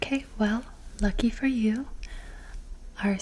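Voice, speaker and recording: Through noticeable background noise, a soft-spoken woman talks in a calm tone. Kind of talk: ASMR personal-attention roleplay asking gentle questions for sleep. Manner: soft-spoken, calm.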